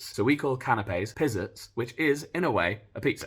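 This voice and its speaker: In a British accent, a somewhat breathy voice comes through on a very clean recording with a silent background. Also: man. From United Kingdom. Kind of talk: comedic explainer talk to camera.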